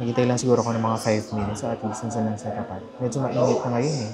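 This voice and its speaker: Music plays in the background as a soft-spoken man with a medium pitch talks amid audible room echo. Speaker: vlogger. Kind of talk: casual vlog talk. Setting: coffee shop.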